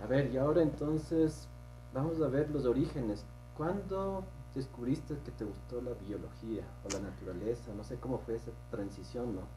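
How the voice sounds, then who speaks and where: A man talks at a moderate pace with a fairly low pitch. His pitch swings very widely. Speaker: podcast host. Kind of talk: interview.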